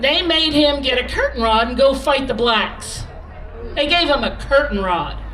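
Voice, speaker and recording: Over crowd noise and audible room echo, a woman speaks fairly slowly in a raised, projected voice. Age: 60s. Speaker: former cafe owner, rally speaker. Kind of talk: protest rally speech. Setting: outdoor rally stage with crowd. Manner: animated.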